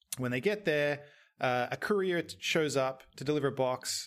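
A man with an Australian accent speaks at a moderate pace, fairly high in pitch with ordinary pitch variation. The recording is very clean, with a silent background. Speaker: horror film podcast co-host. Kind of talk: casual podcast discussion.

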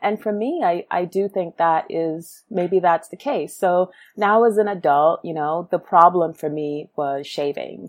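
This woman, with a normal speaking voice and an American accent, talks at a fairly slow pace with hardly any pauses, a fairly low pitch and ordinary pitch variation. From Brooklyn, New York, with early childhood in Guyana. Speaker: founder and CEO of a shaving brand. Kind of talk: interview.

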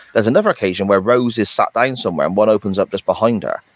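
A man talks very fast with a British accent. The sound is dry and close, with no echo. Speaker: podcast host. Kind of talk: casual chat.

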